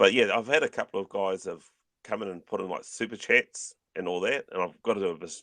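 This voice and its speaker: The delivery is very fast, in a New Zealand accent. The sound is dry and close, with no echo. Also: man. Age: 50s. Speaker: YouTuber and collector. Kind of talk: casual chat. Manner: mumbling.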